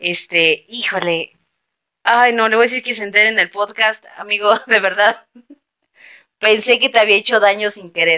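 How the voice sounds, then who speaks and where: At a moderate pace, a woman with a fairly high pitch speaks with fairly even intonation, big swings in loudness, and long, frequent pauses. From Mexico City. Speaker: podcast host. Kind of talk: casual chat. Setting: late-night recording.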